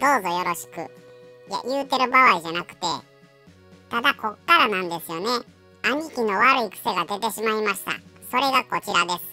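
A female-sounding voice, pitched fairly high, puts on a character voice at a moderate pace over faint background music. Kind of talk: pet voice-over comedy. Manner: casual, chatty.

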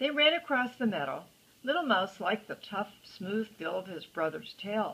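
Her pitch rises and falls very widely. The woman keeps a moderate pace. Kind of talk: storybook reading aloud to a child. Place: home room. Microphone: phone near.

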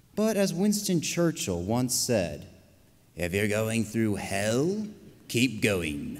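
A man speaks at a medium pitch and a very slow pace, his pitch swinging very widely while his loudness stays very even. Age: 20s. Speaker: pastry chef and small business owner. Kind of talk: prepared speech. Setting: stage with audience. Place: stage. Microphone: podium.

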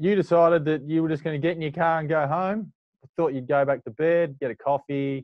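The speaker moves at a fairly quick pace with fairly even intonation. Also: man, fairly high pitch for a man.

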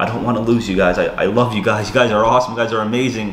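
A man speaks with monotone, flat intonation. There is audible room echo and light background noise. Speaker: vlogger. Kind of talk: emotional casual vlog rant. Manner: drunk, slurred, emotional rambling. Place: home room. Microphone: camera far.

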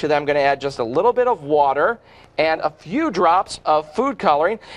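Upbeat and enthusiastic, a man speaks at a fairly quick pace with lively intonation. His voice sits fairly high for a man. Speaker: infomercial host. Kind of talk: infomercial demonstration. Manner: upbeat, enthusiastic. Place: studio. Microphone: lapel.

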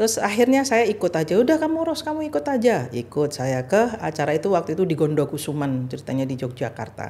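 Almost without pausing, a woman with a fairly low voice talks at a very fast pace, her pitch swinging very widely. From Indonesia. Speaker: former ambassador and religious organization leader; podcast guest. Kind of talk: interview. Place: studio. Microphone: studio mic.

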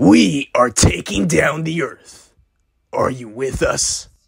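Using a put-on character voice, a man speaks with a raspy, fairly high pitch at a very slow pace. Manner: cocky, teasing, energetic.

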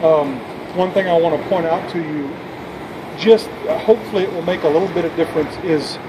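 A man keeps a fairly quick pace while noticeable background noise runs underneath. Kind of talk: calm explanation to a citizen. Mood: calm, conciliatory. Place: street. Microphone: phone near.

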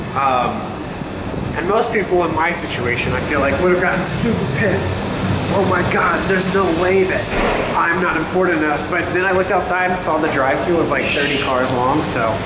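A man talks fairly quickly as music plays in the background. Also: ordinary pitch variation. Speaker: vlogger. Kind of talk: casual vlog chat.

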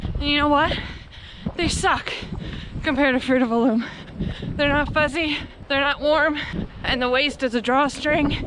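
A woman's raised, projected voice carries ordinary pitch variation, the sound dry with no echo and noticeable noise in the background. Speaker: running vlogger. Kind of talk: casual vlog chat. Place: open country. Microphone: phone near.

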